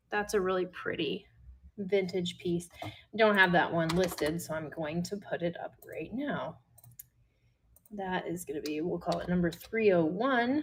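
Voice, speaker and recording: At a fairly slow pace, a woman with an American accent talks in a somewhat breathy voice at medium pitch with ordinary pitch variation. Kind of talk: live selling stream. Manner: casual, chatty.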